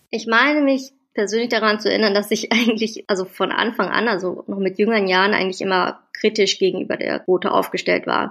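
Here is a plain, everyday voice: a woman at a medium pitch with fairly even intonation. She moves at a fairly quick pace with hardly any pauses. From Germany, Wuppertal. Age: 30s. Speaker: political youth organization leader. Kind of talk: interview. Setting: remote call.

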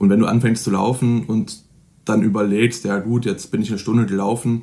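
This is an ordinary speaking voice. A man talks at a fairly quick pace with a medium pitch. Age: 20s. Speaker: student and fitness blogger. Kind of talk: interview.

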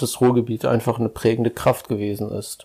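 The recording is very clean with a silent background, and the speaking pace is moderate. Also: man. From Ruhr area, Germany (Ennepetal). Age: 50s. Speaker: parish pastor. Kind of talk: casual interview chat. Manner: direct.

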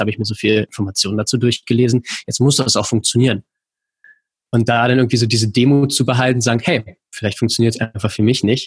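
Talking at a very fast pace, a man with a medium pitch sounds somewhat breathy, keeping a fairly even intonation in a dry, close sound with no echo. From Berlin, Germany. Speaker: rowing coach. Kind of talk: casual chat.

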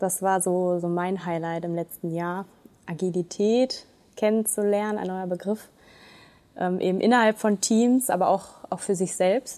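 Here is a plain, everyday voice from a woman at a medium pitch. She speaks at a moderate pace with fairly even intonation. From Germany, Ruhr area (Duisburg). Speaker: municipal administrator. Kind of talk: podcast interview.

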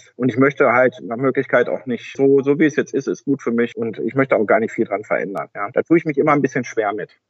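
The speaker has an unremarkable speaking voice with ordinary pitch variation. The pace is fairly quick, with hardly any pauses. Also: man. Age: 40s. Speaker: tax advisor, firm owner. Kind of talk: casual interview.

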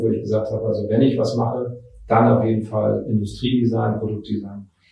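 A man speaks at a medium pitch with a dark, mellow tone. Vocal fry runs through his voice. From Mecklenburg, northern Germany (Schwerin). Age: 30s. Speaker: designer and business owner. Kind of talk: interview. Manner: hesitant, many fillers.

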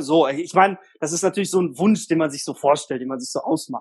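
The speaker is a man with a high pitch. He talks at a moderate pace with ordinary pitch variation. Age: 30s. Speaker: single guest on dating podcast. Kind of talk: casual interview. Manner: talkative. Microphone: echoey room on host side.

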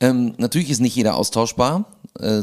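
Speaking fairly quickly with lively intonation, a man's medium-pitched voice comes through a very clean recording with a silent background. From Hamburg, Germany. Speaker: a cappella comedy singer. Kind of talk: casual chat.

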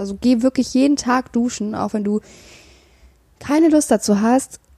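A woman's somewhat breathy, dark and mellow voice, with ordinary pitch variation and a moderate pace, in a dry, close sound with no echo. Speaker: mental health podcaster. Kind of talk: personal monologue with self-help tips. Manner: hesitant, many filler sounds.

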